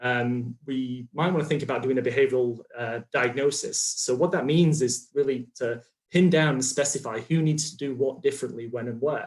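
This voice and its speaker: With a British accent, a man speaks in a somewhat breathy voice with fairly even intonation and hardly any pauses. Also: medium pitch for a man, moderate pace. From United Kingdom. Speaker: health psychology researcher. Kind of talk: conference talk. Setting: video call. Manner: many fillers and hesitations.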